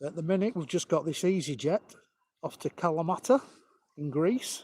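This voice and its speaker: Speaking in a northern English accent at a moderate pace, the voice has lively intonation and a dry, close sound with no echo. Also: man, high pitch for a man. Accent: broad northern English. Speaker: planespotting live streamer. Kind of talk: live commentary. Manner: casual, chatty.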